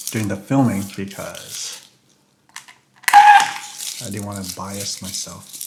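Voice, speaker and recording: A man mumbles at a very slow pace, leaving long, frequent pauses. His loudness swings widely. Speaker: food reviewer. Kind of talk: casual food review vlog. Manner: mumbling; casual, halting.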